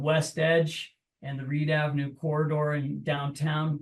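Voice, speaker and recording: An American accent marks this man's voice. His pitch is fairly high and he sounds somewhat breathy. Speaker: political candidate. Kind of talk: candidate forum introduction.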